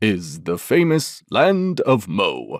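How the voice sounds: A woman does a slow put-on character voice at an extremely low pitch with very wide pitch swings, in a dry, close sound with no echo and a very clean recording over a silent background.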